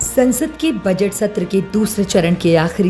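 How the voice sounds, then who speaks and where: Music plays in the background. A woman speaks at a medium pitch with ordinary pitch variation. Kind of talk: TV news report voice-over.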